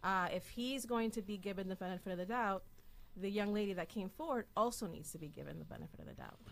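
Speaking very fast, a woman uses ordinary pitch variation. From Dominican and Puerto Rican heritage. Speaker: political activist. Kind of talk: interview. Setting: studio. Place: studio. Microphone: studio mic.

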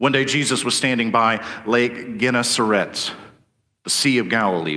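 Over a quiet background, a man with a bright, sharp tone speaks at a moderate pace with lively intonation. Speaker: preacher. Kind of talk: sermon.

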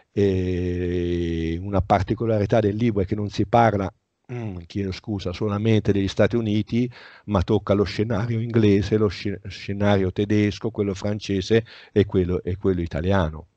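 Over a quiet background with a dry sound and no echo, a man speaks at a moderate pace in a dark, mellow tone, with fairly low pitch and fairly even intonation. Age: 60s. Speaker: author; interviewee. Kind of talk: interview. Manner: halting. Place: home room. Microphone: headset.

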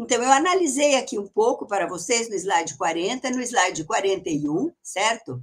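Over a quiet background, a woman with a fairly high voice speaks at a fairly slow pace with hardly any pauses, her pitch swinging very widely. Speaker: history professor. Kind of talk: lecture. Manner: emphatic. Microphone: video call.

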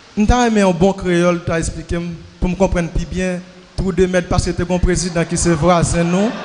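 Over light background noise, a man talks in a high-pitched voice. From Haiti. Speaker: church member asking questions. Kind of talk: Q&A session. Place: church. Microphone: handheld.

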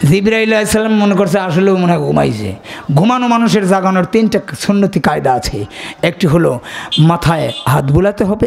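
A man talks in a high pitch with ordinary variation. Light background noise is present. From Bangladesh. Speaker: Islamic preacher. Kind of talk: sermon. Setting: stage with audience. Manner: loud; animated. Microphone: podium.

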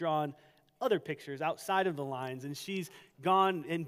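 A man talks against a quiet background, his pitch varying in an ordinary way. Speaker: pastor. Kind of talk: sermon. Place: church. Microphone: headset.

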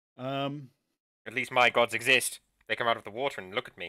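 Putting on a rumbling character voice at medium pitch, a man speaks at a moderate pace with fairly even intonation and big swings in loudness. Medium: actual play. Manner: haughty, grumbling; dry, sneering.

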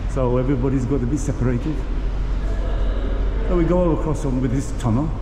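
A man speaks at a moderate pace while noticeable background noise runs underneath. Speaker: travel vlogger. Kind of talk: casual vlog commentary. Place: station. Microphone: phone near.

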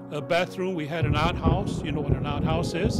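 A man with an American accent speaks at a fairly high pitch. Music plays in the background. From El Toro, Orange County, California. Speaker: oral history interviewee. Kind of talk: oral history interview answer. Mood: warm, nostalgic. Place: home room.

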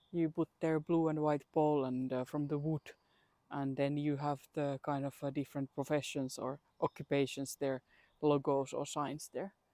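Recorded dry and close with no echo, a woman with a Finnish accent speaks at a moderate pace in a very deep, low voice and a flat monotone. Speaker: travel vlogger. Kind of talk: casual walking vlog. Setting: outdoors.

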